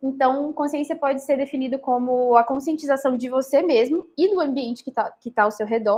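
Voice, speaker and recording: In a Minas Gerais accent, a woman speaks at a fairly quick pace with a high pitch. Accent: mineiro Brazilian Portuguese. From Minas Gerais, Brazil. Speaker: medical student lecturer. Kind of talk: lecture. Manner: fast; hesitant fillers.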